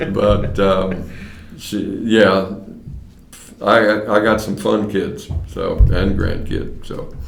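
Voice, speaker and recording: Music plays behind a man with an American accent, and audible room echo surrounds him. He speaks at a very slow pace with long, frequent pauses. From US Midwest, Mason, Ohio. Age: 70s. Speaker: retiring county court clerk, former radio personality. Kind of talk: oral history interview.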